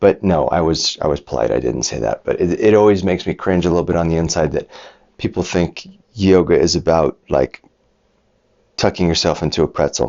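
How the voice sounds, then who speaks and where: Vocal fry at a fairly quick pace, with ordinary pitch variation. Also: man, very deep, low pitch for a man. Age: 40s. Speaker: yoga teacher. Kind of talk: casual storytelling. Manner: animated.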